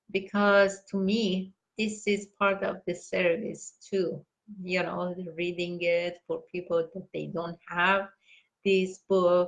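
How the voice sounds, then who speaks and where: Her voice flat and monotone, a woman with a non-native accent speaks very slowly at medium pitch. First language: not English. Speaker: meditation teacher reading books aloud. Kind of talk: casual sign-off announcements. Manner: halting, many fillers; warm, heartfelt.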